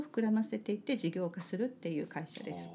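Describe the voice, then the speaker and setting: A woman talks while music plays in the background. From Japan, Kitakyushu (Kokura, Fukuoka). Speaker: salt maker and farmer. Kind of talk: casual interview.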